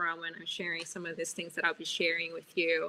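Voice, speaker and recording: A woman's bright, sharp tone with a Portuguese accent. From Brazil, São Paulo. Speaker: business executive and speaker. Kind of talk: webinar presentation. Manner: loud.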